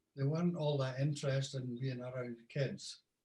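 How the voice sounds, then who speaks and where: The voice is somewhat breathy, in a Scottish Borders accent. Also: man. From Scotland, Scottish Borders (Hawick). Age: 70s. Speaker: musician and tour guide. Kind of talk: interview, life story.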